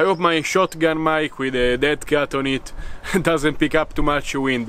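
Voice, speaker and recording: A man speaks at a moderate pace, with a dry sound with no echo. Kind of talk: tutorial. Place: garden. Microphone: camera far.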